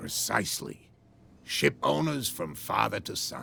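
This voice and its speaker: A man performs a put-on character voice that is raspy and very deep and low. He talks at a fairly slow pace. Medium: video game. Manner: proud, guarded.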